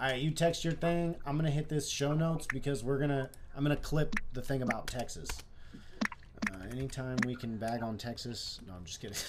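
A man speaks at a fairly quick pace in a fairly high pitch. His intonation is lively. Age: 20s. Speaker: livestream host. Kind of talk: casual chat. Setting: live stream. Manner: animated.

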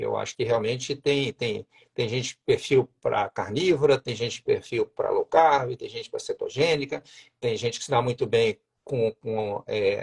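Moderately paced male speech, dry and close-miked, without any echo. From Minas Gerais, Juiz de Fora. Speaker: endocrinologist. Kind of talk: casual interview. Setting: livestream. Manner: hesitant, with many fillers.

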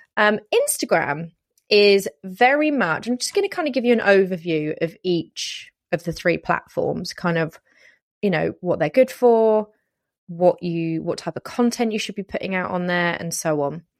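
In a British accent, a woman talks at a moderate pace and medium pitch with lively intonation, recorded very cleanly against a silent background in a dry, close sound with no echo. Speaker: podcast host and wedding planner. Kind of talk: solo podcast tutorial. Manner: animated.

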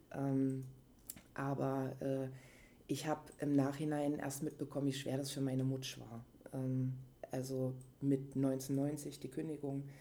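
A woman speaks at a very deep, low pitch in a dark, mellow tone, monotone and flat, at a fairly slow pace. Long, frequent pauses break up her speech amid audible room echo. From Leipzig, Saxony, eastern Germany. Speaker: interviewee, contemporary witness of post-reunification youth. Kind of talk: casual conversation.

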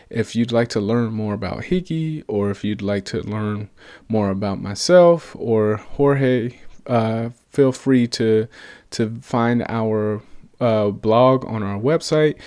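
A man with an American accent speaks at a very slow pace and a medium pitch. His pitch varies in an ordinary way, and the recording is very clean with a silent background. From US South (Atlanta, Georgia). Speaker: podcast host and startup co-founder. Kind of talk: solo business podcast monologue. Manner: casual, with frequent fillers and repetitions.

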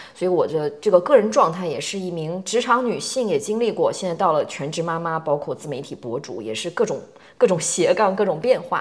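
Her pitch medium but swinging very widely, a woman talks at a fairly quick pace. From China. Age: 40s. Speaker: podcast host, content creator. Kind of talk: casual chat.

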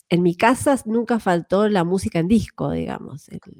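Here a woman is speaking. Her intonation is lively. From Argentina, Buenos Aires province (Benito Juárez). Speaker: musician. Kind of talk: casual chat.

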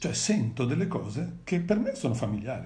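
A somewhat breathy man with lively intonation at a moderate pace, amid audible room echo. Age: 50s. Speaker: father of the host, guest speaker. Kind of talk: live stream interview, personal testimony.

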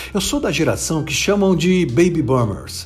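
There is audible room echo as a man with a fairly high pitch speaks in very wide pitch swings. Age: 50s. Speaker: business speaker. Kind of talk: motivational talk.

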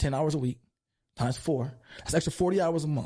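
A man's tone is dark and mellow, with vocal fry. His pitch variation is ordinary. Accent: American. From East Los Angeles. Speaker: gym owner and strength coach. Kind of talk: casual interview.

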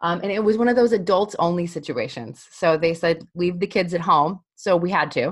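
A woman with an American accent speaks in a plain, everyday voice, pitched fairly low. She keeps a moderate pace with hardly any pauses and ordinary pitch variation. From Colorado. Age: 30s. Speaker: podcast co-host. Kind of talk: casual chat.

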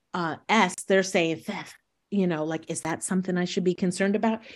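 Medium in pitch, a woman's intonation stays fairly even. She has a normal speaking voice. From New York State. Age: 60s. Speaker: retired teacher. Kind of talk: interview conversation.

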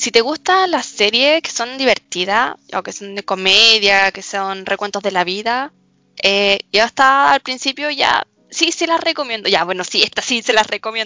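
Speaking at a moderate pace, a woman uses a fairly high pitch with lively intonation and big swings in loudness. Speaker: student podcast co-host. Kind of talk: casual chat about anime and series. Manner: animated, laughing often.

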